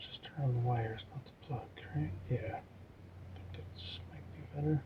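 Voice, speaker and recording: Mumbling, a man speaks at a fairly low pitch and a fairly slow pace. His intonation is lively and his loudness swings widely. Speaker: RC hobby youtuber. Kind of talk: hobby tutorial. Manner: casual, hesitant with many ums.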